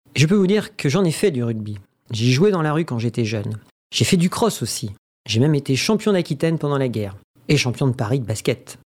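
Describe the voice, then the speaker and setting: Very wide pitch swings from a man with a fairly high voice, captured on a very clean recording over a silent background. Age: 80s+. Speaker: former rugby player and club founder. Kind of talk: personal testimony.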